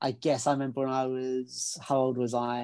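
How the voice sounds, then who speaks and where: A man with a British accent, medium pitch and a dark, mellow tone at a fairly slow pace. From England. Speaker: menswear consultant and trouser brand co-founder. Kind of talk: casual chat. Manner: repeats words, stammers.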